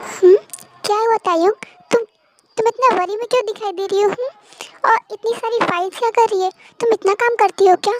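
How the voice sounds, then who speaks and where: This put-on character voice moves at a fairly quick pace with fairly even intonation, recorded with a dry, close sound and no echo. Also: woman, extremely high pitch for a woman. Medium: fan dub. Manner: gentle, warm.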